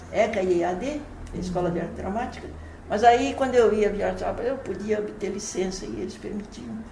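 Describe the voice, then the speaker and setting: Noticeable background noise and audible room echo surround a woman's voice. She speaks at medium pitch and a moderate pace, with ordinary pitch variation. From Brazil, São Paulo. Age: 80s+. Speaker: playwright and poet. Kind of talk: interview. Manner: halting, frequent repetitions.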